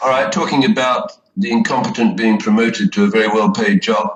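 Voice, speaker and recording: This man's medium-pitched voice moves at a moderate pace. His pitch swings very widely. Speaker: radio show co-host. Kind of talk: radio talk show, casual discussion.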